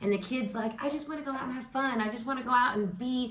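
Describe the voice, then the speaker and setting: Amid noticeable background noise and audible room echo, a woman speaks in an animated, excited tone with ordinary pitch variation. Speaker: tarot reader and astrology host. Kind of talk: casual vlog-style tarot and astrology talk. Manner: loud.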